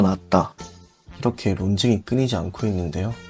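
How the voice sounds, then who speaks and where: Music in the background behind a man's voice at a moderate tempo. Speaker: anime commentary narrator. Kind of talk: anime explainer narration.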